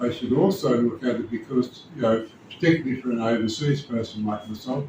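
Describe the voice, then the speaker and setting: Amid noticeable background noise, a man with an Australian accent talks at a fairly quick pace in a medium pitch. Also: ordinary pitch variation. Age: 70s. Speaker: dental patient. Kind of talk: testimony.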